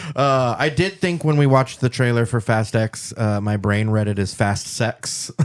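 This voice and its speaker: At a moderate pace with hardly any pauses, a man speaks in a normal speaking voice at medium pitch, with ordinary pitch variation, very even loudness, and a very clean recording with a silent background. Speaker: podcast host. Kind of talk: casual podcast banter.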